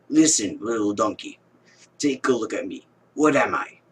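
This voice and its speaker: A man's raspy, put-on character voice at a fairly high pitch, delivered at a moderate pace. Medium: read story. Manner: gruff, curt.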